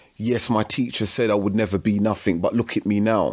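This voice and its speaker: Music plays in the background. A man talks at a moderate pace and fairly low pitch. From London, Hackney. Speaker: musician and studio owner. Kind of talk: casual interview chat.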